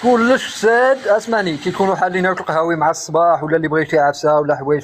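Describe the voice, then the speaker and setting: In a normal speaking voice, a man talks at a fairly high pitch with ordinary pitch variation. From Morocco, Souss region (Amazigh). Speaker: live stream guest. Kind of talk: casual chat. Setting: live stream call.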